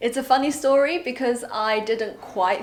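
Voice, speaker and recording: Talking at a moderate pace is a woman. She speaks with a Chinese accent. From northern England (Yorkshire), moved from China at eight. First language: Mandarin Chinese. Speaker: entrepreneur. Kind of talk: personal vlog and interview. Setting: on a train.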